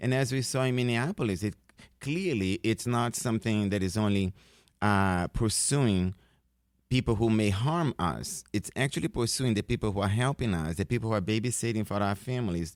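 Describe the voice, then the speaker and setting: In a Brazilian Portuguese accent, a man speaks at a fairly low pitch and moderate pace with ordinary pitch variation and very even loudness, in a very clean, silent recording with a dry, close sound and no echo. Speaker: professor. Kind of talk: radio interview. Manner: halting, many fillers.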